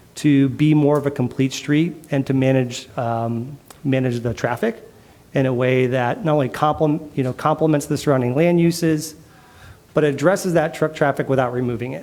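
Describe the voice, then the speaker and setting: A man pitched fairly high, with ordinary pitch variation, against noticeable background noise. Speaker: urban planning consultant. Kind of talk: presentation. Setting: council committee meeting. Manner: fast.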